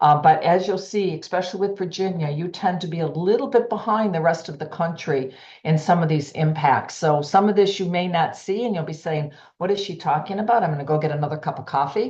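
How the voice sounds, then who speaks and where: A woman's fairly low, somewhat breathy voice at a fairly quick pace, with audible room echo. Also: ordinary pitch variation. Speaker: healthcare executive and cardiology society president. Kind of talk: lecture. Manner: fast.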